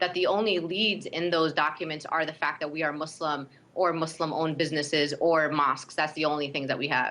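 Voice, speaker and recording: A woman with a Brooklyn accent, a very deep, low pitch, fairly even intonation and a fairly quick pace, against noticeable background noise. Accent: Brooklyn New York. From Brooklyn, New York. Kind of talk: interview.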